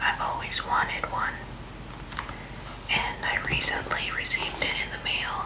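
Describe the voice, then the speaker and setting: A woman whispers at a moderate pace. Her speech is broken by long, frequent pauses. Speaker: ASMR creator. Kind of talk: ASMR unboxing. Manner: whispered. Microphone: studio mic.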